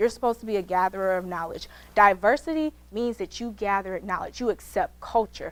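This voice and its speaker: A woman speaks at a fairly quick pace in a fairly high pitch, her tone animated. The recording is very clean, with a silent background. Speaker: law student speaker. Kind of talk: motivational talk. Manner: fast.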